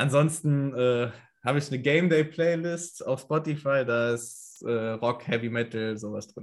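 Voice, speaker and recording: In a very clean recording with a silent background, a man with a normal speaking voice talks at a fairly slow pace, his medium pitch showing ordinary variation. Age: 20s. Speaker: American football kicker. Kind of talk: casual interview.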